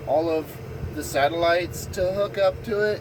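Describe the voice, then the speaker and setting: A man with an American accent speaks at a moderate pace in a high pitch. Noticeable background noise sits under his voice. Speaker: farmer and vlogger. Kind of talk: casual vlog narration.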